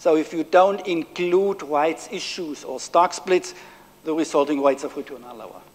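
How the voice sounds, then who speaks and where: Speaking at a moderate pace with a German accent, a man uses a high pitch and shows big swings in loudness. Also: ordinary pitch variation. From Germany. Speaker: professor. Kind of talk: lecture. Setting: stage with audience. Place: hall.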